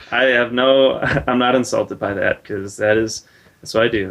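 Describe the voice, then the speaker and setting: With a slight Wisconsin accent, a man talks at a moderate pace and medium pitch, his intonation fairly even. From Wisconsin, Milwaukee. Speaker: air force service member. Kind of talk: street interview. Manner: halting.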